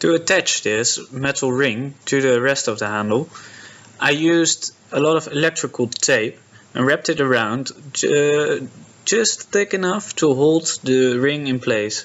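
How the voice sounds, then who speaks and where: The speaker has a Dutch accent and a fairly slow pace. The loudness stays very even. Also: man, fairly high pitch for a man, ordinary pitch variation. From Netherlands. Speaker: prop maker. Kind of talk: tutorial narration.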